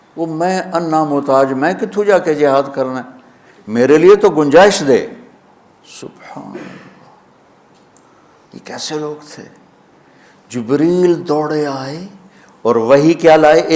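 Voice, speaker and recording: A man's ordinary speaking voice, fairly high in pitch, with ordinary pitch variation and big swings in loudness. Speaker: Islamic preacher. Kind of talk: religious sermon.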